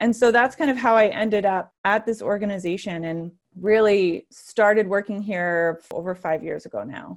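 A woman with an American accent speaks in an ordinary speaking voice at a medium pitch and a moderate pace, with ordinary pitch variation and hardly any pauses, in a very clean recording with a silent background. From US, various places (military family). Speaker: nonprofit executive director. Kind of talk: podcast interview.

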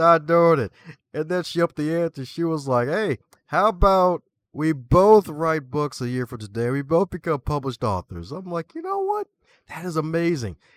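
A man with an American accent talks at a moderate pace and fairly high pitch with ordinary pitch variation, an unremarkable speaking voice, dry and close with no echo in a very clean recording with a silent background. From Baltimore, Maryland. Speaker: author, librarian and podcaster. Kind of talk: casual interview chat. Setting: live video broadcast.

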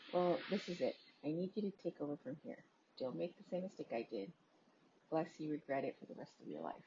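With vocal fry and a fairly low pitch, a woman talks at a fairly quick pace using very wide pitch swings. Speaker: podcast host reading a creepypasta. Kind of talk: ghost story telling, reading a horror story aloud.

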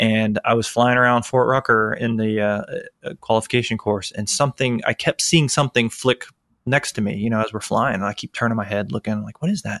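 With an American accent, a man in an unremarkable speaking voice talks at a fairly quick pace with hardly any pauses, medium pitch and fairly even intonation, recorded with a dry, close sound with no echo against a quiet background. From Florida (Tampa). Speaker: podcast host, Army helicopter pilot. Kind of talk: casual interview.

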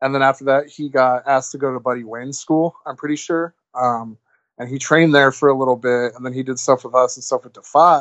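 This man has a plain, everyday voice pitched in the medium range. He talks fairly quickly, with fairly even intonation. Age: 20s. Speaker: wrestling promoter. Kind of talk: casual chat.

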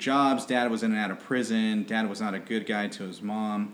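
Talking at a moderate pace, a man speaks with an American accent. Audible room echo surrounds his voice. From Southern California, Riverside. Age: 30s. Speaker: businessman. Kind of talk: casual interview.

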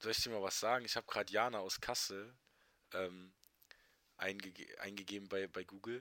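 With long, frequent pauses, a man talks at a fairly quick pace in a monotone, flat intonation, his fairly low voice bright and sharp in tone. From Germany, Trier region. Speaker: podcast co-host. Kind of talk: casual chat.

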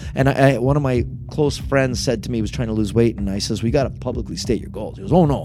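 Noticeable background noise and audible room echo surround the recording. A man with an Ontario accent talks at a very fast pace with a medium pitch. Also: ordinary pitch variation. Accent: Canadian (Ontario). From Niagara Falls, Ontario, Canada. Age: 50s. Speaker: mayor. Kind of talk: interview.

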